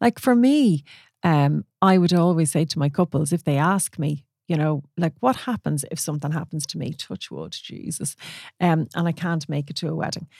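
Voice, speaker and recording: At a moderate pace, a woman with an Irish accent speaks in a very deep, low pitch. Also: ordinary pitch variation, dry, close sound with no echo, very clean recording, silent background. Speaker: wedding photographer and podcast host. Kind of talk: casual solo podcast talk. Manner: conversational with many fillers.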